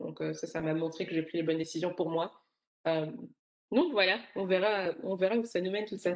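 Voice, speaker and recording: A woman speaks at a moderate pace. Her pitch sits fairly low and varies in an ordinary way. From Belgium (Brussels), Rwandan roots. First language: Kinyarwanda (speaking French). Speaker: tech professional, expat. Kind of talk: interview conversation.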